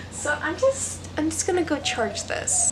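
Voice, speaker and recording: The voice swings very widely in pitch, with audible room echo and noticeable background noise. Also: woman. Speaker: student vlogger. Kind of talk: casual vlog chat. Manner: rambling, halting with many fillers.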